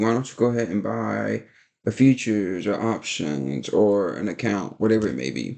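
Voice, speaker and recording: This man's voice sits at a fairly low pitch with a dark, mellow tone. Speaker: day trader and video creator. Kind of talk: casual vlog talk. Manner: fast; animated.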